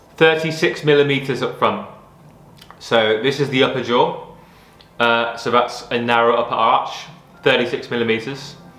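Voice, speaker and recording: Audible room echo surrounds a man speaking at a medium pitch and moderate pace. His intonation is fairly even, with long, frequent pauses. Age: 30s. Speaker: vlogger documenting health journey. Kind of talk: personal vlog. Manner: hesitant, many fillers and repetitions.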